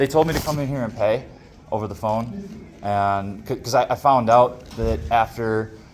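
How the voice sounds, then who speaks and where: A man speaks fairly slowly with ordinary pitch variation. Noticeable background noise runs behind him. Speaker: channel owner filming bank dispute. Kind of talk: confrontation with police. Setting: bank lobby. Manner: loud; halting, repeats words.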